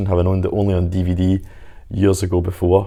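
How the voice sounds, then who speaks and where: Over a very clean recording with a silent background, a man with a Scottish accent speaks at a very fast pace. His voice is fairly low, with a dark, mellow tone. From Scotland. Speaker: home media reviewer. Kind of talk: product review to camera.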